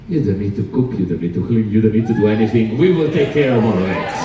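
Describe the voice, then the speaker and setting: A man in an Italian accent speaks with ordinary pitch variation, with audible room echo and noticeable background noise. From Sicily, Italy. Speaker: cruise director. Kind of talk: stage show hosting. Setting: theater stage with audience. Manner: animated; loud.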